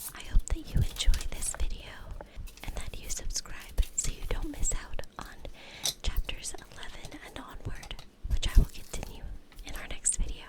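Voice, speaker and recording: Noticeable background noise lies under a whisper delivered at a moderate pace. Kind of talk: casual talk to camera, channel intro. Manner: soft-spoken, whispering.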